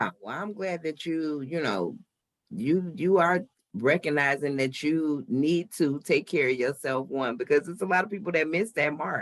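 This is a normal speaking voice, with lively intonation and a moderate pace. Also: man, fairly high pitch for a man. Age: 40s. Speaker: podcast host. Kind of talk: casual interview.

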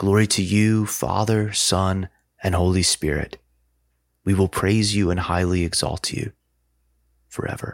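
Recorded very cleanly over a silent background, a man with a very deep, low pitch speaks at a fairly slow pace with long, frequent pauses. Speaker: prayer leader. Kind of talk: guided liturgical prayer, fervent and devotional, with petitions and responses. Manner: pleading, heartfelt intensity on the petitions.

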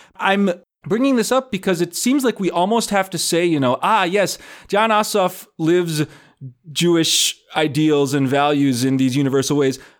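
On a very clean recording with a silent background, a high-pitched man speaks at a moderate pace with lively intonation and very even loudness. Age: 30s. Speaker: podcast co-host. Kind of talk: casual chat.

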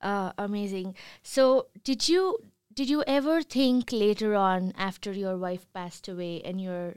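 A woman at a medium pitch uses lively intonation, heard on a very clean recording with a silent background. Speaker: reporter. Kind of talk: interview. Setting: makeshift studio. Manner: halting.

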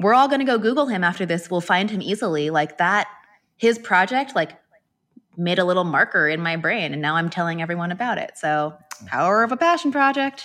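A woman's normal speaking voice at medium pitch, fairly quick in pace, with lively intonation. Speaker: lettering artist and online course creator. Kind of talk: casual interview. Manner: fast, filler-heavy.

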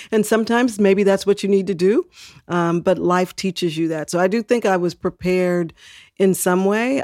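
A woman's medium-pitched, dark and mellow voice at a moderate pace with fairly even intonation, dry and close with no echo, on a very clean recording with a silent background. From Texas. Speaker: civil rights official. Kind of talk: interview.

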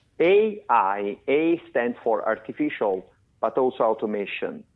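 This man speaks at a very slow pace. He has an Italian accent. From Italy (Florence). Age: 50s. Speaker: tech company CEO. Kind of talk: interview. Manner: halting, many fillers.

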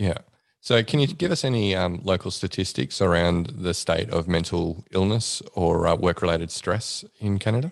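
Against a quiet background, a man with a very deep, low pitch speaks at a moderate pace with ordinary pitch variation and very even loudness. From Australia. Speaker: psychologist and podcast host. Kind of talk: casual interview chat.

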